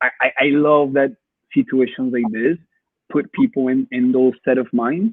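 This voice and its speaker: At a moderate pace, a man with a Spanish accent talks in a medium pitch with ordinary pitch variation. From Colombia. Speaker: photographer. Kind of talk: interview. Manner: halting, many repetitions.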